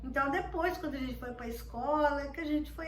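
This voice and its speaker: Noticeable background noise and audible room echo surround the recording. A woman speaks with a high pitch, ordinary pitch variation, and a moderate pace. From Minas Gerais, Brazil. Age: 60s. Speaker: grandmother interviewee. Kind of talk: interview testimony. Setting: at home. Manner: halting, with fillers.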